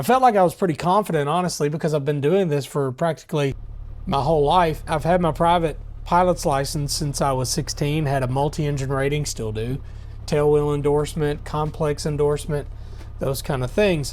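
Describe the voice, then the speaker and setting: Fairly quick and with ordinary pitch variation, a man talks in a plain, everyday voice pitched fairly high. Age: 30s. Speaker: pastor and vlogger. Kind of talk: vlog narration. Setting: airport.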